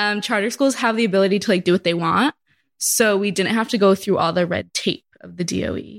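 A woman's medium-pitched voice with vocal fry, ordinary pitch variation and a fairly quick pace. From Massachusetts. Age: 20s. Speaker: schoolteacher. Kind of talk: casual chat. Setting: at home in quarantine.

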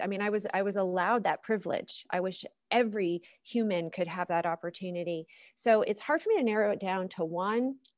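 A woman with a plain, everyday voice at a medium pitch, ordinary pitch variation and a fairly quick pace, in a dry, close sound with no echo. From Pittsburgh area, Pennsylvania. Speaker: opera singer and music professor. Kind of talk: interview.

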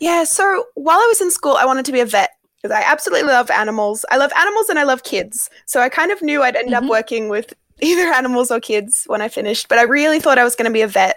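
A woman with an Australian accent speaks at a very fast pace. Her high voice swings very widely in pitch. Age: 20s. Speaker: primary school teacher. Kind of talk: casual interview.

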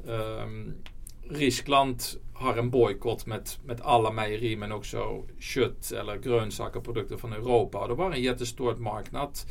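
A man speaks fairly slowly, and room echo is audible. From Netherlands. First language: Dutch (speaking Swedish). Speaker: company CEO. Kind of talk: interview. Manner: halting.

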